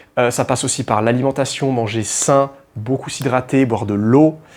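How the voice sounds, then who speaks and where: A man's medium-pitched voice at a moderate pace. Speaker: dating and confidence coach. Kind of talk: motivational advice monologue. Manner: casual, informal, with hesitations.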